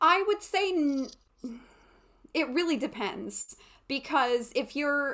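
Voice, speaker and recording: With a bright, sharp tone and a high pitch, a woman speaks at a very slow pace with lively intonation and long, frequent pauses. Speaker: voice teacher and classical soprano. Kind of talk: lecture.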